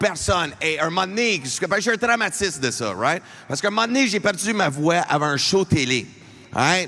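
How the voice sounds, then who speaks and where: A man with an Albertan accent speaks loudly at a high pitch. His intonation is lively and his pace moderate. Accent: Franco-Albertan accent noted. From Alberta, Canada (francophone). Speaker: comedian. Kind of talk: stand-up. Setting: arena stage with audience.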